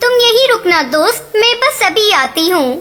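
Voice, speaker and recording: Clear music plays in the background as a female-sounding cartoonish character voice, extremely high in pitch, speaks at a moderate pace. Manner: gentle, sweet.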